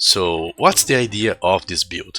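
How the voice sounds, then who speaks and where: A man speaks fairly slowly in a very deep, low pitch. The sound is dry and close with no echo, with noticeable background noise. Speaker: gaming video creator. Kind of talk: gameplay tutorial.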